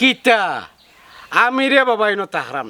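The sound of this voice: A man puts on a character voice with a high pitch and big pitch swings. His tone is bright and sharp, and his pace is moderate.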